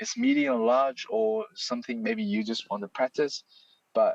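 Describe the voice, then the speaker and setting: A man speaks with a non-native accent. The sound is dry and close with no echo. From China. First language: Chinese. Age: 30s. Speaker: software developer, library author. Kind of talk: live Q&A in online hangout. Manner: halting with fillers.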